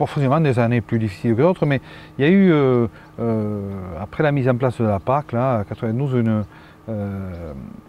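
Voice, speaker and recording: A man with a southern French accent has a medium pitch and a dark, mellow tone. His intonation is lively, broken by long, frequent pauses. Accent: southern French, sing-song. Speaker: cereal farmer. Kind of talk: interview answer. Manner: calm.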